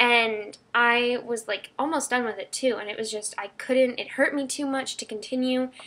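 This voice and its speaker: A woman speaks at a moderate pace in a high voice with a bright, sharp tone. Her intonation stays fairly even, with hardly any pauses. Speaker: vlogger. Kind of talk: casual vlog monologue. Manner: rambling, hesitant with ums.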